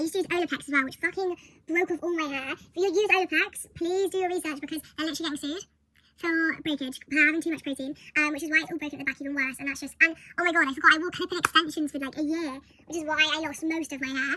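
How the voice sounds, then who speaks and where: A woman speaks at a very fast pace in a raised, projected voice with an extremely high pitch. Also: fairly even intonation. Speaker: vlogger. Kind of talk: casual chat.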